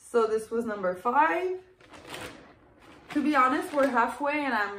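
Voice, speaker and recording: With audible room echo and light background noise, a woman with a high pitch talks at a fairly slow pace in a lively intonation. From Quebec, Canada. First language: French. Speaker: clothing reseller. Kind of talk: casual talk to camera. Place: home room. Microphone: phone near.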